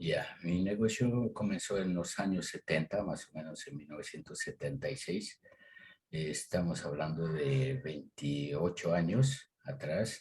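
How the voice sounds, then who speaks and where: In a very deep, low, somewhat breathy voice, a man speaks at a fairly slow pace. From Ecuador, Tulcán (northern highlands, Colombian border). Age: 60s. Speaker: agricultural business owner. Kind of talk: interview. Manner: hesitant, many fillers.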